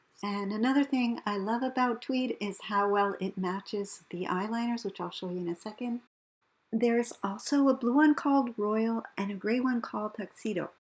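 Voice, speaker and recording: Somewhat breathy speech at a moderate pace with ordinary pitch variation. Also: woman, fairly high pitch for a woman. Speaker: beauty vlogger. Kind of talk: product review vlog.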